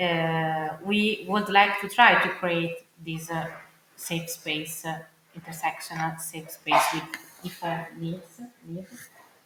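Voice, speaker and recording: A fairly low-pitched woman with an Italian accent at a very slow pace, amid noticeable background noise and audible room echo. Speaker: arts curator and producer. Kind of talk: panel discussion. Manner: halting, many fillers.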